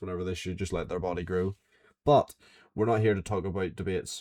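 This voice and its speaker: Very clean recording with a silent background, featuring a man with a very deep, low pitch and a dark, mellow tone. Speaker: podcast host. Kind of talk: casual monologue recap.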